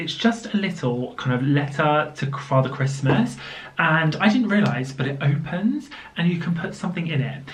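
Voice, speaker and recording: In a southern English accent, a woman with a very deep, low pitch talks at a fairly quick pace with lively intonation, amid noticeable background noise and audible room echo. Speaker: lifestyle vlogger. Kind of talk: casual vlog talk to camera. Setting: home office. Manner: animated.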